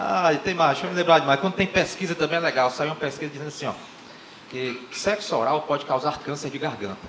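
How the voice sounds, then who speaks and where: With audible room echo and light background noise, a man with a Brazilian accent talks at a very fast pace in an animated, playful tone with ordinary pitch variation. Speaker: stand-up comedian. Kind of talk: stand-up comedy. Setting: stage with audience. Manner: animated, playful, acting out dialogues; joke-driven, conversational, with punchlines. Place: stage. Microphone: handheld.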